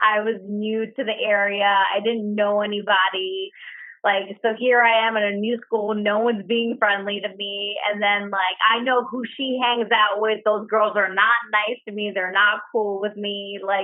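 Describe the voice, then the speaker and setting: With a New York accent, a woman talks at a fairly slow pace. Her medium-pitched voice stays monotone and flat. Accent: New York City. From the Bronx, New York City. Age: 20s. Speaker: friend. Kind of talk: casual chat. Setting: at home.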